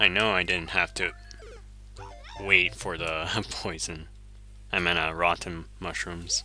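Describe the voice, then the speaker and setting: A man with a very deep, low pitch and vocal fry speaks at a very slow pace, leaving long, frequent pauses. His intonation is lively and his tone bright and sharp. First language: Japanese. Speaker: video game streamer. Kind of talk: gameplay live stream commentary. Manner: casual, thinking aloud.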